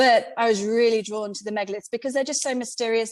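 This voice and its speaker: A woman with a British accent talks at a very fast pace in a fairly high pitch, her intonation fairly even, on a very clean recording with a silent background. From Britain. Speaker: independent megalith researcher. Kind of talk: podcast interview.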